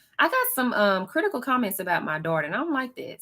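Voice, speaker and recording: A woman speaking at a very fast pace. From Texas. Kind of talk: casual live-stream chat reading comments. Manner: chatty, animated.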